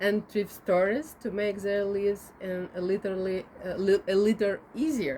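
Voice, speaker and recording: Over noticeable background noise, a woman with a Ukrainian accent talks at medium pitch and a fairly slow pace. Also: ordinary pitch variation. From Ukraine. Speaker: interviewer and video maker. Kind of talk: interview questions. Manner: halting.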